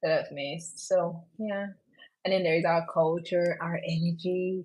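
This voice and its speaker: A woman's fairly low voice at a moderate pace, in a Nigerian accent. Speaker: podcast host. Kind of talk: solo podcast monologue. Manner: animated.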